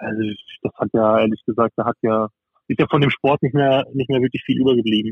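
A man's medium-pitched voice, fairly quick in pace, with fairly even intonation. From southern Baden, Freiburg im Breisgau. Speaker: professional handball player. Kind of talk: casual interview. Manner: halting, many fillers.

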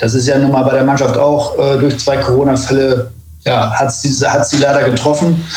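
Against noticeable background noise and audible room echo, a man speaks at a fairly high pitch with monotone, flat intonation. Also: moderate pace, very even loudness. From northern Germany. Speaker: former footballer. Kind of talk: casual football talk. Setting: remote call.

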